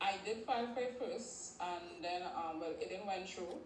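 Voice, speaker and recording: A woman with a Caribbean accent speaks at a fairly slow pace with lively intonation. Audible room echo and noticeable background noise fill the recording. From Trinidad and Tobago. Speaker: caller. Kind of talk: casual chat. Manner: halting.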